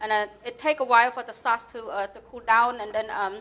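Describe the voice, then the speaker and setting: A woman speaks fairly quickly in a fairly high voice, with a Cambodian accent. Her intonation stays monotone and flat. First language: Khmer. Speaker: home cook. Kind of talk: cooking tutorial.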